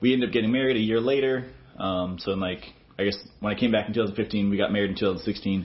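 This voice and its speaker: With an American accent and an ordinary speaking voice, a man talks at a fairly quick pace in a fairly low pitch with fairly even intonation. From Texas. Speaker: student pastor. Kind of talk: interview. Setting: office.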